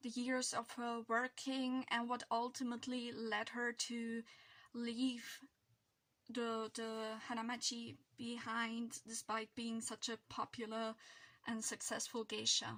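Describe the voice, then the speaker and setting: In a very slow, monotone delivery, a woman speaks with a fairly high, bright, sharp voice and flat intonation. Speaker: book vlogger. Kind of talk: casual vlog monologue. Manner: halting, with fillers.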